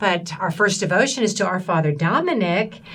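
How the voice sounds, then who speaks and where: Amid noticeable background noise and audible room echo, a woman with a Southern US accent speaks at a moderate pace. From US South, Tennessee. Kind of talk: interview.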